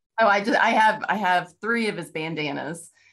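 A woman with a Texan accent against a quiet background. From Texas. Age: 50s. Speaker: novelist. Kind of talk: interview.

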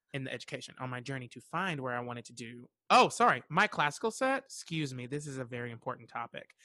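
Over a quiet background, a man with an American accent speaks at a fairly quick pace, his bright, sharp tone animated and his intonation lively, the sound dry and close with no echo. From Western North Carolina. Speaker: actor, singer and theater educator. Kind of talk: casual chat.

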